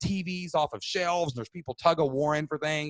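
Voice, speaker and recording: With an animated tone, the speaker goes at a fairly quick pace in a dry, close recording with no echo. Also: man. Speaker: webinar host and podcaster. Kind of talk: storytelling in a live webinar. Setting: live video webinar. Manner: loud.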